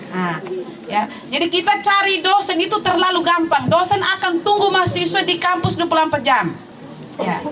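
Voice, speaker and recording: A raised, projected voice at a fairly quick pace with ordinary pitch variation, audible room echo and music in the background. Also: woman, extremely high pitch for a woman. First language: Tetum (speaking Indonesian). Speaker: alumna, teacher. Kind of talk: testimony.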